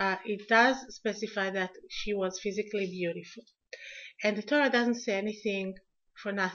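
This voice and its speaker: A woman speaks in an Israeli accent at a medium pitch. Her intonation is fairly even and her pace moderate. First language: Hebrew. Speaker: lecturer. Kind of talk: lecture. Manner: halting.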